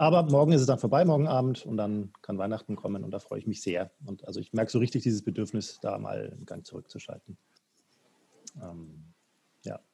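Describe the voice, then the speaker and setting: Lively intonation and big swings in loudness mark a man's dark, mellow, somewhat breathy voice at medium pitch. He moves at a fairly quick pace yet leaves long, frequent pauses. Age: 40s. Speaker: podcast host. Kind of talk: casual chat.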